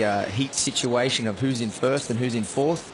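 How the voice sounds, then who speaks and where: At a fairly quick pace, someone speaks with an Australian accent and fairly even intonation over noticeable background noise. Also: man. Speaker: surf contest commentator. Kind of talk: live commentary. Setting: commentary booth.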